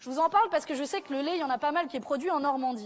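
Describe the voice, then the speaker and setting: A woman speaks with lively intonation. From southern France. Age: 20s. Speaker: politician. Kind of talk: political rally speech. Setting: stage with audience.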